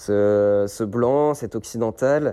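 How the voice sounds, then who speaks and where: Ordinary pitch variation and a dark, mellow tone in a very clean recording with a silent background. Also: man. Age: 20s. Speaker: humanitarian volunteer, advocacy trainer. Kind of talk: interview narration. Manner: hesitant with fillers.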